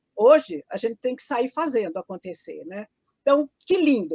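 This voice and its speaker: A woman with a high pitch and very wide pitch swings talks at a moderate pace, the sound dry and close with no echo. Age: 70s. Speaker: teacher. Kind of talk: casual chat.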